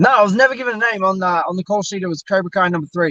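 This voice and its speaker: Talking at a very fast pace, a man with an Australian accent has a high pitch, a bright, sharp tone, and ordinary pitch variation, recorded with a dry, close sound and no echo. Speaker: stunt performer and actor. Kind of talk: interview. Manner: casual, halting with fillers.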